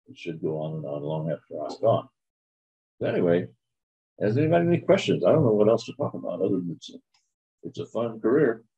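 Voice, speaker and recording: A man at medium pitch with a dark, mellow tone and vocal fry, very wide pitch swings, big swings in loudness, a very fast pace and long, frequent pauses. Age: 80s+. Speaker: retired automotive technician and scholarship donor. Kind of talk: informal talk to a class. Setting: classroom, recorded for online students. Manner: halting, with many fillers.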